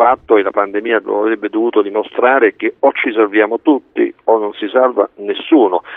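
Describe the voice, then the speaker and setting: His pitch sits at a medium level for a man. The voice is an unremarkable speaking voice, and he talks fairly quickly. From Italy. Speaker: doctor, scientific director. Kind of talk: radio interview. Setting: remote link.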